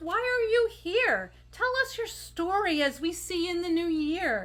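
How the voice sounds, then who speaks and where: A woman puts on a squeaky character voice with an extremely high pitch. She speaks at a fairly slow pace. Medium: read story. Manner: friendly, curious.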